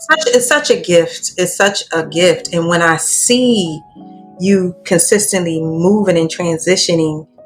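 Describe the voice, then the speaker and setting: Music plays in the background as a woman speaks at a very slow pace. Her pitch is medium and varies in the usual way. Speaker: podcast host. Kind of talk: interview question.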